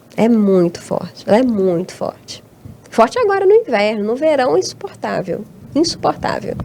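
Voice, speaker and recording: A woman's fairly high voice at a moderate pace, with very wide pitch swings and noticeable background noise. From Brazil, Tocantins (born in Abaeté, Minas Gerais). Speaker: academic researcher and teacher. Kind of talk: interview conversation. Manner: hesitant, with many repeated words.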